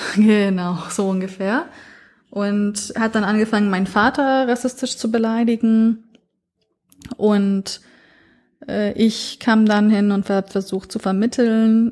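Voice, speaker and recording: A woman with a fairly high pitch speaks at a very slow pace, with long, frequent pauses. Her intonation stays fairly even. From northern Iraq, then Franconia (Nuremberg) from age nine. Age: 30s. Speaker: podcast foreign-news reporter. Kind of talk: casual interview chat.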